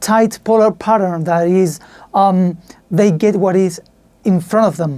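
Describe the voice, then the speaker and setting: A woman speaks with a Spanish accent at a medium pitch and a dark, mellow tone. Her pace is fairly slow and her pitch varies an ordinary amount. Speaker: podcaster reviewing audio gear. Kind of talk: tutorial. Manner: halting.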